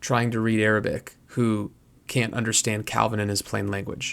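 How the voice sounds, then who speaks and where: A man talks at a fairly slow pace. The background is silent and the recording very clean. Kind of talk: casual commentary video monologue. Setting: at home late at night. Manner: quiet, trying not to wake family; hesitant with fillers.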